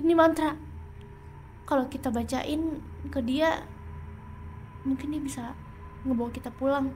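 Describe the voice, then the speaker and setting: A woman's high-pitched voice at a moderate pace, fairly even in intonation, broken by long, frequent pauses, with music in the background. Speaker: ASMR roleplay creator. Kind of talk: horror ASMR roleplay, spoken to listener as a companion. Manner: soft, hushed, intimate, tense.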